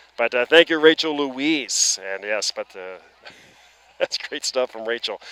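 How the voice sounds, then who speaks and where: Speaking in an Atlantic Canadian accent, a man with a fairly high pitch talks at a fairly slow pace with lively intonation, the sound dry and close with no echo amid noticeable background noise. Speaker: baseball play-by-play commentator. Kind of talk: live sports commentary.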